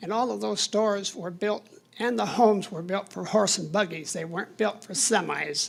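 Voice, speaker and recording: With noticeable background noise behind her, a woman talks at a medium pitch and ordinary pitch variation. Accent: American. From Michigan, US Midwest. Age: 80s+. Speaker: resident making public comment. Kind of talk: public comment at council meeting. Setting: city commission meeting room.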